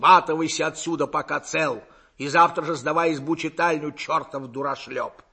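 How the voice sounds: In a put-on character voice, a man speaks at a moderate pace and a fairly high pitch, his tone bright and sharp with a slightly husky edge and his intonation fairly even.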